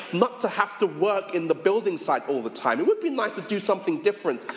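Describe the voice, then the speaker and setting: A man's pitch swings very widely as he talks fairly quickly, with noticeable background noise behind him. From Caribbean heritage (Jamaican and Barbadian parents). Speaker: pastor. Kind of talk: sermon. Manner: repeats words when starting sentences.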